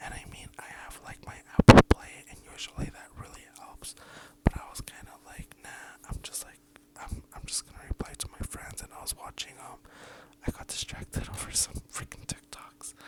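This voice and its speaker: The speaker whispers at a moderate pace. Noticeable background noise is present. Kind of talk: asmr story time. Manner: whispered.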